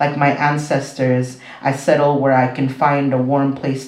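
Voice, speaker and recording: In a room with audible echo and noticeable background noise, a man speaks at a fairly slow pace and medium pitch in a monotone, flat intonation. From Mexico, then Southern California and Las Vegas. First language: Spanish. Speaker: poet. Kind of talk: poetry reading.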